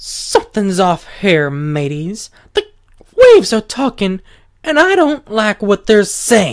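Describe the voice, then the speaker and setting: A man puts on a character voice with a Southern accent, pitched high and delivered at a fairly slow pace. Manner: uneasy, worried.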